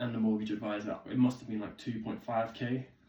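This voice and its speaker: A man with an English accent speaks at a fairly quick pace, his medium-pitched voice flat and monotone. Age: 20s. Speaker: vlogger. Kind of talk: casual vlog talk.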